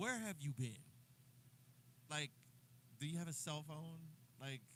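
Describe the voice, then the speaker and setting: Speaking fairly slowly, a man with an American accent sounds animated, his pitch fairly high. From New Jersey. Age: 60s. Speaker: drummer and livestreamer. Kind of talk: casual livestream chat.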